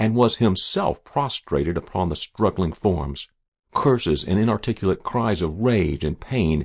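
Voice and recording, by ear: Lively intonation while reading aloud in a natural voice, over a quiet background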